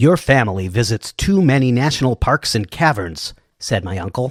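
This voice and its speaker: In a very clean recording with a silent background, a man uses a put-on character voice at a medium pitch and moderate pace. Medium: read story. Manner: ominous, storytelling.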